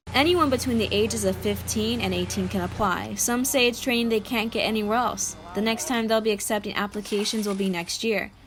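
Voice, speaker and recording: Music runs in the background. The talk is fairly quick with hardly any pauses and very even loudness. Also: woman. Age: 20s. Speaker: student journalist. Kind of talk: news report. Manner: formal.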